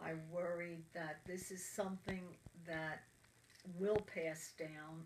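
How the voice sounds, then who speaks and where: A woman speaks at a very slow pace in a fairly low pitch. Her intonation stays flat and monotone. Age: 70s. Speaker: cancer patient. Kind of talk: interview.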